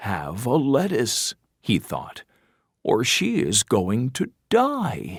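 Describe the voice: The clip is plain reading aloud, set against a quiet background.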